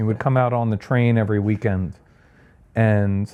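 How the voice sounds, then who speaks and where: With a Long Island accent, a man speaks at a moderate pace. His tone is dark and mellow. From Long Island, New York (Sayville). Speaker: architect. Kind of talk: podcast interview. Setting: at home. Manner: casual, hesitant with fillers.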